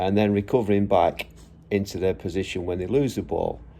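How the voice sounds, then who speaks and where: The tone is dark and mellow, with fairly even intonation. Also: man. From England. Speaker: football vlogger, former professional player and coach. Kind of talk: casual monologue vlog. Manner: halting, many fillers.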